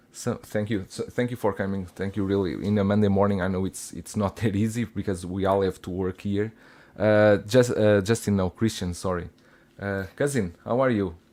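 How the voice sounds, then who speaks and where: A man with a Russian accent speaks in a dark, mellow tone at a fairly low pitch. His pace is moderate and his intonation fairly even, in a very clean recording with a silent background. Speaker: collectibles show host. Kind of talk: casual panel chat.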